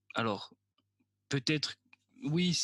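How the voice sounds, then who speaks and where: The background is silent and the recording very clean. There's a man talking. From Corsica. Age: 20s. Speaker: film student telling his story. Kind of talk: personal storytelling monologue. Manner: casual, joking.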